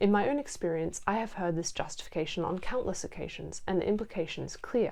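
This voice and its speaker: A woman speaks at a fairly quick pace in a dark, mellow tone, her medium pitch moving with ordinary variation. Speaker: video essayist. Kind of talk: video essay narration.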